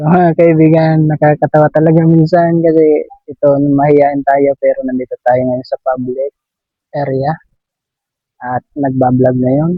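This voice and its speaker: With music in the background, a man speaks fairly slowly at a fairly high pitch in a monotone, flat intonation. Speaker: vlogger. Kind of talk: casual vlog talk. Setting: outdoors.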